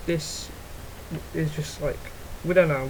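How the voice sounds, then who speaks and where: Over noticeable background noise, a man with a high pitch talks at a moderate pace. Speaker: gaming YouTuber. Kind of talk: unscripted gaming commentary. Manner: halting, stuttering.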